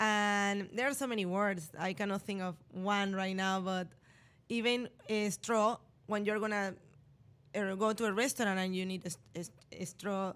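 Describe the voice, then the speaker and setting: Speaking with a strong Spanish accent, a woman keeps a medium pitch, fairly even intonation and a moderate pace on a very clean recording with a silent background. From Panama. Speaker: radio host. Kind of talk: casual interview chat.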